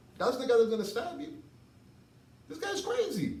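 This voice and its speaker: A man speaks loudly over noticeable background noise, with audible room echo. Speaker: martial arts instructor. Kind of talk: tutorial.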